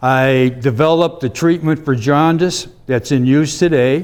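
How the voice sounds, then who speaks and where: Speaking at a fairly slow pace, a man with a Midwestern American accent has a fairly high pitch and ordinary pitch variation. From US Midwest, Cleveland area. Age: 70s. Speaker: invited speaker, army veteran. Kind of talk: talk to a club audience.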